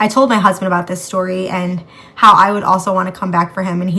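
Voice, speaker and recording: Over noticeable background noise, a woman talks at a very fast pace in a monotone, flat delivery. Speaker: true crime podcast host. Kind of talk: true crime narration. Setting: home bedroom. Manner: casual, chatty.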